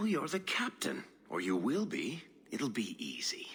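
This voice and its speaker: A man uses a put-on character voice. He talks at a moderate pace. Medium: video game. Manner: glib, teasing.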